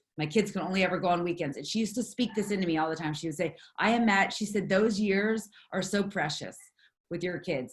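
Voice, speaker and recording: A woman with an American accent speaks at a fairly quick pace and a medium pitch, with ordinary pitch variation. Her voice is somewhat breathy and her tone animated. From US East Coast. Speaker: network marketing leader. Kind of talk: motivational talk. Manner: fast.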